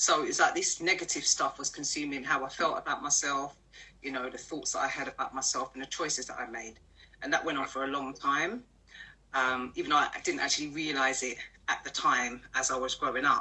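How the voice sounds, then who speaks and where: A woman with a London accent talks over noticeable background noise. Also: fairly quick pace. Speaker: personal development coach. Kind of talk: interview. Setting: live stream.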